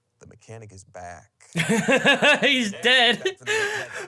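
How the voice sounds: The clip features a natural reading voice. It is delivered as reading.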